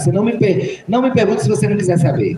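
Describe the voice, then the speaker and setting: A man speaks with lively intonation. Audible room echo and noticeable background noise are present. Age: 60s. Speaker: Candomblé priest. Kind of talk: school panel Q&A talk.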